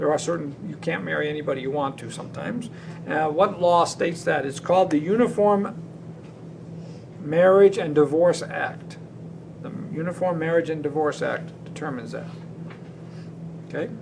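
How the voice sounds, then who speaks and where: A man with a fairly high pitch and ordinary pitch variation, at a moderate pace with long, frequent pauses, big swings in loudness and audible room echo. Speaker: teacher. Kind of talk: lecture.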